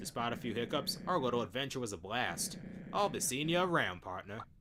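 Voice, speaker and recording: Over clear background noise, a man puts on a character voice at medium pitch, talking at a fairly quick pace with very wide pitch swings. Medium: machinima. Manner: dramatic.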